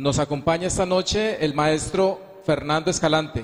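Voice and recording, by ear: The man has a fairly high pitch and ordinary pitch variation. He keeps a moderate pace.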